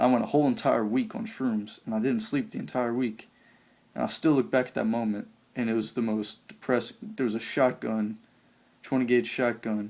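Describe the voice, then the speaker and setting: Here a man speaks with an American accent at medium pitch. His pace is fairly quick and his intonation fairly even. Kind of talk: testimony. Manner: halting.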